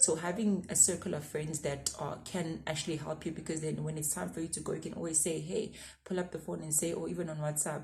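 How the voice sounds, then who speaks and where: Very fast speech from a woman with a very deep, low pitch, fairly even intonation and hardly any pauses, in a room with audible echo. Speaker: YouTuber giving career advice. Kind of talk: casual advice vlog.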